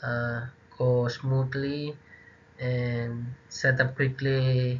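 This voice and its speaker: The delivery is very slow and somewhat breathy. Intonation stays monotone and flat throughout. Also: man, medium pitch for a man. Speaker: university student. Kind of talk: class presentation. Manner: halting.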